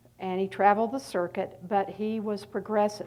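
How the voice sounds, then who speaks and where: Her tone dark and mellow, a woman with a slight Southern US accent speaks at a medium pitch. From North Carolina, US South. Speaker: art historian and author. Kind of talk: lecture. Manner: halting, many fillers.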